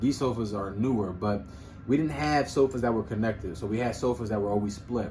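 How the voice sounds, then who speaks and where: Speaking with an American accent, a man talks at a fairly quick pace. His medium-pitched voice is somewhat breathy. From Philadelphia, US. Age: 20s. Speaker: podcast co-host. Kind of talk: casual chat.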